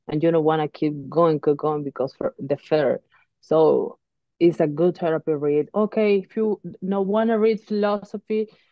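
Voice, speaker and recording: In a Spanish accent, a woman speaks at a moderate pace with a fairly low pitch and ordinary pitch variation. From Uruguay. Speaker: professional boxer. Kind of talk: interview. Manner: halting.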